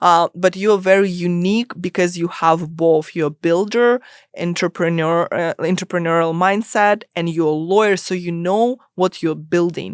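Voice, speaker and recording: With a non-native accent, a woman speaks at a moderate pace and fairly low pitch with fairly even intonation, the sound dry and close with no echo on a very clean recording with a silent background. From immigrant to US, non-English-speaking country. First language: not English. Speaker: startup lawyer. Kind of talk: podcast interview.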